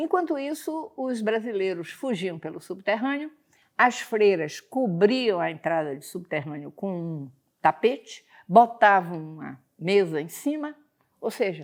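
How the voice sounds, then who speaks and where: A woman at medium pitch and a fairly slow pace, with very wide pitch swings and big swings in loudness, on a very clean recording with a silent background. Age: 80s+. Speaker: history teacher. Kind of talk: lecture. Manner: conversational.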